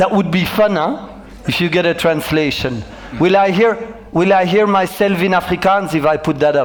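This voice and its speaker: Amid noticeable background noise and audible room echo, a man speaks at a high pitch with a French accent. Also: ordinary pitch variation, moderate pace, very even loudness. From Belgium. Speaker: motivational speaker and business coach. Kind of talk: keynote talk. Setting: stage with audience.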